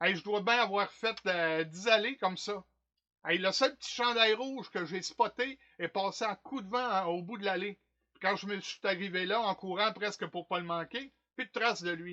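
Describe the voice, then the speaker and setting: Speaking with a Quebec accent, a man talks at a moderate pace in a high pitch. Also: ordinary pitch variation. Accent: Québécois French. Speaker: stage actor. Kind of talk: theatre monologue performance. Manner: comic, animated, colloquial.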